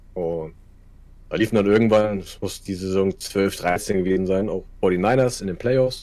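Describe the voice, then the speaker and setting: The speaker talks at a fairly slow pace with fairly even intonation and a northern German accent. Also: man. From northern Germany, Kiel. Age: 30s. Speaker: streamer. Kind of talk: casual chat.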